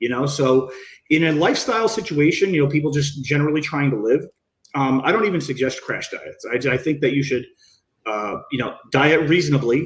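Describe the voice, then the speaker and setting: A man's fairly high-pitched, somewhat breathy voice at a fairly quick pace. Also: ordinary pitch variation. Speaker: bodybuilding coach. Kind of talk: podcast interview. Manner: fast.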